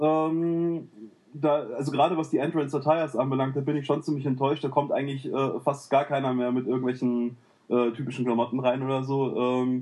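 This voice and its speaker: The man's voice sits fairly high. He delivers everything in a flat monotone. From Cologne, Germany. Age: 30s. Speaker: gaming forum user. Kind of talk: casual chat.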